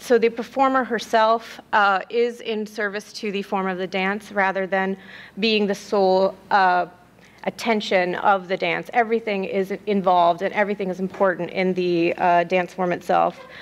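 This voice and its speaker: A woman's medium-pitched voice at a moderate pace with fairly even intonation. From US Midwest, Columbus Ohio, South Indian family. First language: South Indian language. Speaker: graduate student researcher. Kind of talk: conference presentation. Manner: hesitant, many fillers.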